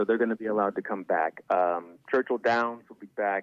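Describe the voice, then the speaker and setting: The man speaks at a very fast pace. His pitch is fairly low, and his intonation is fairly even. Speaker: horse racing commentator and podcaster. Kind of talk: interview answer, casual conversation.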